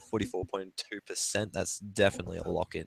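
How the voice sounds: Using a put-on character voice, a man rattles along at a very fast pace in a croaky, fairly low pitch with monotone, flat intonation.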